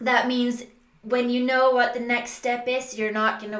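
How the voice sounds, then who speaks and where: With noticeable background noise and audible room echo around her, a woman speaks at a fairly high pitch. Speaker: business coach. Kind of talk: tutorial.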